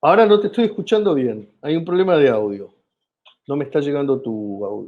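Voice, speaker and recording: Fairly quick speech in an Argentine accent swings very widely in pitch. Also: man, fairly high pitch for a man. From Argentina. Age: 50s. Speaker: comedian. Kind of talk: interview.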